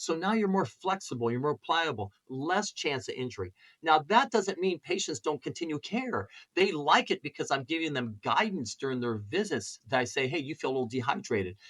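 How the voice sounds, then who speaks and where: The voice has very wide pitch swings and vocal fry at a fairly quick pace. The sound is dry and close with no echo. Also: man, fairly high pitch for a man. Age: 60s. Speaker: chiropractor. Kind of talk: interview.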